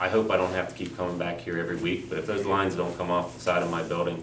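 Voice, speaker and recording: A man talks at a very fast pace in a very deep, low pitch. Noticeable background noise and audible room echo fill the recording. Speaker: resident speaking at public comment. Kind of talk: public comment at council meeting. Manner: loud.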